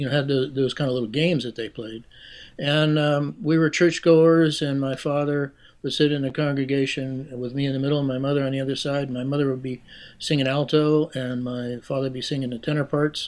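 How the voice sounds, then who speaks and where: In an American accent, a man with a fairly high pitch speaks at a fairly quick pace in a monotone, flat intonation over a quiet background. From western Pennsylvania, Pittsburgh area. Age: 70s. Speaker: retired music professor and keyed bugle performer. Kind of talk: interview conversation. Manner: halting, many fillers.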